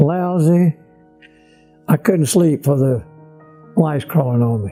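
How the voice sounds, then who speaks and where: A man at a fairly high pitch, very slow, with long, frequent pauses and music in the background. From Grand Junction, Tennessee. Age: 80s+. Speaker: WWII fighter pilot and former POW. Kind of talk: interview answer, oral history.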